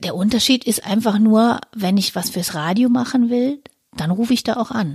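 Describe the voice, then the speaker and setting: The voice is somewhat breathy, with a moderate pace and ordinary pitch variation. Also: woman, fairly high pitch for a woman. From rural Germany. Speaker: podcast co-host. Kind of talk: casual chat.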